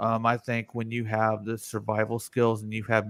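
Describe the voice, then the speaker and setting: Speaking at a fairly quick pace with an American accent, a man uses an ordinary speaking voice at medium pitch, with a dry, close sound and no echo. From US, mixed (north, south, west). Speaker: live-stream show host. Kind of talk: casual chat. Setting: live stream.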